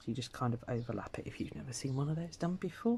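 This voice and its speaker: The speaker is soft-spoken and mumbling. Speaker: embroidery crafter. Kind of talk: tutorial.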